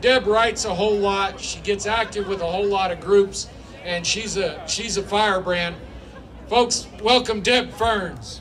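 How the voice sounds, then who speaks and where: This man has a high pitch and talks fairly slowly with fairly even intonation. Noticeable background noise runs behind him. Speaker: event emcee. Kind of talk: speaker introduction.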